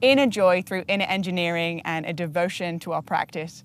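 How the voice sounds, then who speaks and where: A woman's enthusiastic voice at a moderate pace, with a dry sound and no echo. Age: 30s. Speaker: podcast host. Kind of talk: interview; interview questions and host talk. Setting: outdoors. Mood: warm, gentle, smiling. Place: open country. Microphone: lapel.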